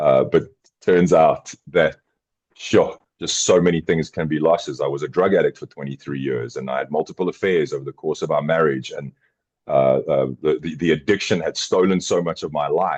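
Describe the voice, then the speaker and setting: A man with a South African accent speaks at a moderate pace in a dry, close sound with no echo. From South Africa, Johannesburg. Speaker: podcast co-host, former addict. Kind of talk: casual chat. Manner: halting, repeats words.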